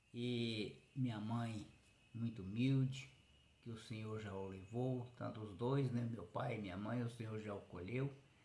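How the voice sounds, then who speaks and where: Audible room echo surrounds a somewhat breathy voice. The pace is fairly slow. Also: man. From Brazil, Goiás (interior). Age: 60s. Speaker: rural man telling his life story. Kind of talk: personal life story monologue.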